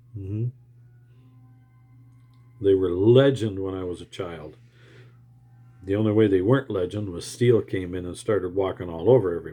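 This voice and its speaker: Music plays in the background as a man with a fairly low pitch speaks at a moderate pace with ordinary pitch variation, big swings in loudness and long, frequent pauses. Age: old. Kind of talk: casual monologue to camera.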